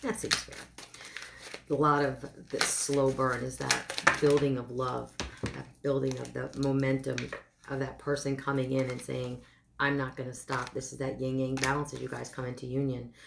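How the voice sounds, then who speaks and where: Over noticeable background noise, a woman speaks in a very deep, low pitch with monotone, flat intonation. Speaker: tarot card reader. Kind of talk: tarot love reading. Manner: hesitant, with filler words; fast.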